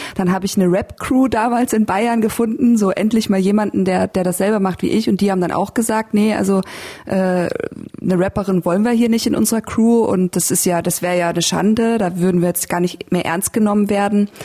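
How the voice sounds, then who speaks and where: A woman speaks in a normal speaking voice at medium pitch and a fairly quick pace, with hardly any pauses. Her intonation is fairly even and her loudness very even. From Lower Bavaria, Germany (Landshut). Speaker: podcast host and rapper. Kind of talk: casual interview.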